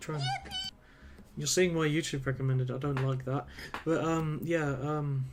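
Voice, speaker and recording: Amid noticeable background noise and audible room echo, a man speaks in a fairly high, monotone, flat voice at a moderate pace with long, frequent pauses. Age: 20s. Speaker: video game streamer. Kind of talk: live gameplay commentary. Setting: live stream. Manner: casual, rambling with fillers.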